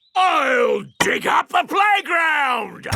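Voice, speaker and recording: A shouted, extremely high-pitched, cartoonish character voice. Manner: hearty, polite.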